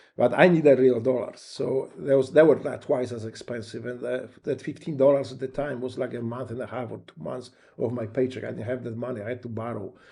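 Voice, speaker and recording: Fairly quick and with hardly any pauses, a man with a Polish accent speaks in a dark, mellow tone. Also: medium pitch for a man, big swings in loudness. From Poland. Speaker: war veteran. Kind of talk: interview. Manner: halting.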